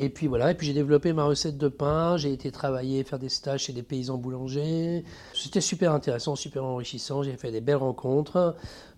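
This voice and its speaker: A man with a fairly high pitch speaks at a fairly quick pace with fairly even intonation. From France, Troyes. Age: 50s. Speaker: tattoo artist. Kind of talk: casual interview. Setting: home studio. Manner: halting.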